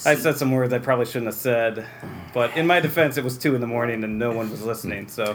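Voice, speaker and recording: Over noticeable background noise, a man with an American accent and a medium pitch talks at a very fast pace with ordinary pitch variation. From Central New York (Waterville, near Utica). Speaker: library director. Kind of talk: interview.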